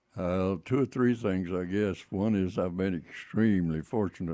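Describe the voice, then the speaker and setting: A man talks in a very deep, low pitch with a dark, mellow tone and fairly even intonation. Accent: West Texas. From West Texas. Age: 80s+. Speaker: retired teacher and tire businessman. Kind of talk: radio interview.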